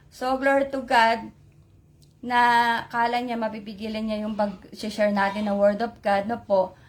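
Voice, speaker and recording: A woman with a fairly high pitch and a somewhat breathy voice speaks at a fairly slow pace in a monotone, flat intonation, on a very clean recording with a silent background. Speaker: lay preacher. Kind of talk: religious sharing on live stream. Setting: Facebook live stream. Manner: code-switching Tagalog-English, halting with fillers.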